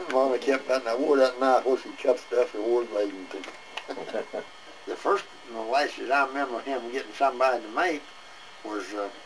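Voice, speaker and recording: Over noticeable background noise, a man of medium pitch talks at a moderate pace with ordinary pitch variation and big swings in loudness. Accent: rural Southern Kentucky. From Southern Kentucky. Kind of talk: oral history interview. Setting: outdoors, front porch. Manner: rambling, casual storytelling.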